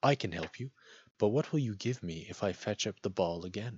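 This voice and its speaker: Putting on a character voice, a man talks fairly quickly at a fairly low pitch. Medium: read story. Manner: courteous, persistent.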